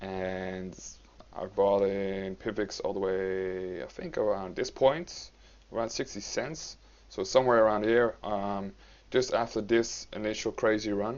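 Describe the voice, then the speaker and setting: This man speaks with a non-native accent at a fairly low pitch. His intonation stays fairly even. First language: not English. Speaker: cryptocurrency YouTuber. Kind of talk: market analysis commentary. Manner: halting, many fillers.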